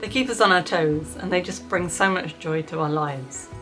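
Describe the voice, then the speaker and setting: A woman with a British accent speaks at a moderate pace in a very deep, low voice with lively intonation, backed by music and audible room echo. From Britain. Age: 40s. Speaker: vlogger. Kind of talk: casual chat. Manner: animated.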